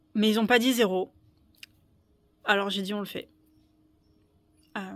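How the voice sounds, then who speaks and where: The voice stays flat and monotone in intonation while its loudness swings widely. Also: woman, medium pitch for a woman. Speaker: small-farm autonomy vlogger. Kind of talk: personal vlog storytelling. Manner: slow; halting, many hesitations.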